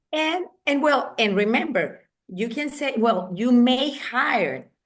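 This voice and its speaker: In a Spanish accent, a woman with a fairly high pitch speaks at a very slow pace, with lively intonation and vocal fry. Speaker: wedding industry association president. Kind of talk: interview. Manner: halting.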